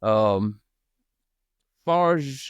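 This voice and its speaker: A voice with a Southern US accent and very wide pitch swings comes through a very clean recording with a silent background and a dry, close sound with no echo. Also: man. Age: 30s. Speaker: podcast host. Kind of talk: interview. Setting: podcast.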